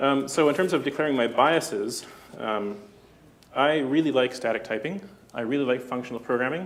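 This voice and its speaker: The man's pitch is medium and varies in an ordinary way. He talks at a fairly quick pace, and audible room echo surrounds his voice. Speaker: conference speaker, software developer. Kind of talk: conference talk. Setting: stage with audience. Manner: fast; hesitant, many fillers.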